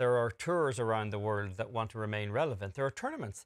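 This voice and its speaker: A man talks in a normal speaking voice at a fairly quick pace with ordinary pitch variation, in a very clean recording with a silent background and a dry, close sound with no echo. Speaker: golf show co-host. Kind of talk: studio sports talk and interviews.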